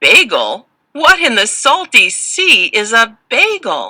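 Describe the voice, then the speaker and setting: A woman uses a put-on character voice, pitched high. She delivers it at a fairly slow pace. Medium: read story.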